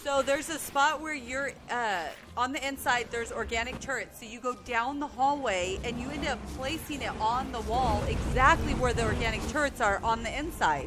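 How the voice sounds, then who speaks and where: A woman's high-pitched voice at a moderate pace, with hardly any pauses, ordinary pitch variation and music in the background. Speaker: gaming commentator. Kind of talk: dual gameplay commentary.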